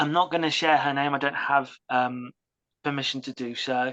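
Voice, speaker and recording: Against a quiet background, the speaker talks at a moderate pace with a British accent. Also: woman. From UK. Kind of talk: interview testimony.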